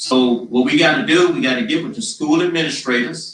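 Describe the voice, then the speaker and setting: At a moderate tempo, this man talks in a fairly high register, his pitch leaping very widely. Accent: Louisiana. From Louisiana, Donaldsonville. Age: 60s. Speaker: mayoral candidate. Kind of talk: town hall answers.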